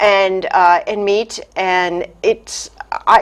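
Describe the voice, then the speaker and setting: This woman's voice sits at a fairly high pitch. She speaks in a Boston accent. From US Northeast, Boston area. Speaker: chamber of commerce president. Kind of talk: interview. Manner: hesitant, many fillers.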